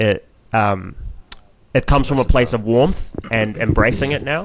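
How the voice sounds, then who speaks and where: This man has a New Zealand accent. His pitch variation is ordinary. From New Zealand, Filipino heritage. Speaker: comedian. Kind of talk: casual chat. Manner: animated.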